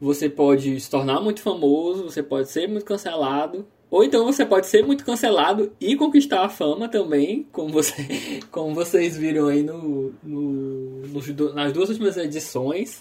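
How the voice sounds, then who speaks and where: The voice moves at a moderate pace with ordinary pitch variation, and noticeable background noise runs underneath. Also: man, fairly high pitch for a man. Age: 20s. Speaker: podcast co-host. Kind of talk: casual chat.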